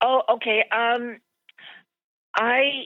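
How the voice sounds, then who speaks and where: This woman speaks with a Midwestern American accent. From Des Moines, Iowa. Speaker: widow, grandmother. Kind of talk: interview answer.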